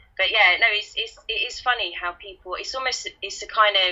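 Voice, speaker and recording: A woman talks with a Kent accent. Her pace is moderate. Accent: Kentish London. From Kent / London, England. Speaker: guest co-host. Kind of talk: casual chat.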